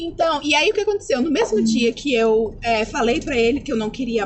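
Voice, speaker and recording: An animated woman at a moderate pace, her pitch swinging very widely, with noticeable background noise. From Brazil, Taubaté, São Paulo. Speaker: au pair. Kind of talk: casual chat.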